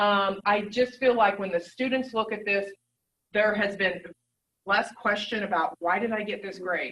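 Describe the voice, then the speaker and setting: This woman has a normal speaking voice, medium in pitch, and she talks at a moderate pace with fairly even intonation. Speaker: nursing professor. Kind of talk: presentation.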